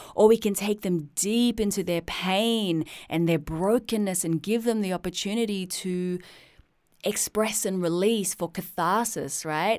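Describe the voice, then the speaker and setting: A woman speaks with an Australian accent at a fairly slow pace, her tone animated and her pitch variation ordinary. The recording is very clean, with a silent background. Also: medium pitch for a woman. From Australia (suburban Sydney). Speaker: podcast host, poet and musician. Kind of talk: personal storytelling monologue.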